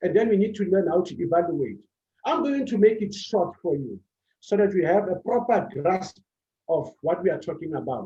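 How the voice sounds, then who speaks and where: A man speaks with a high pitch. His pace is moderate and his pitch variation ordinary. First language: not English. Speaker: public speaking coach. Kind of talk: motivational talk on public speaking.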